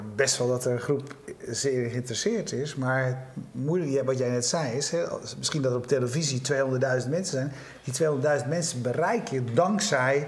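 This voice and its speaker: Moderate pacing from a man, ordinary variation in his pitch. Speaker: talk show host. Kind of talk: interview question. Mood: relaxed, skeptical. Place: studio. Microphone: lapel.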